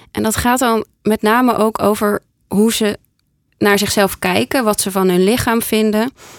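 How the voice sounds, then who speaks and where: A woman speaks in a plain, everyday voice at a fairly high pitch and a fairly slow pace, with ordinary pitch variation. The sound is dry and close, with no echo. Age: 30s. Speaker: podcast host and decluttering coach. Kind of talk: casual chat. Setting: studio.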